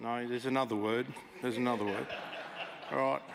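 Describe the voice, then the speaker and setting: A man speaks with an Australian accent. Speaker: military veteran and gamer presenter. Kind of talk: conference talk. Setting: stage with audience. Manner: loud; casual, interactive.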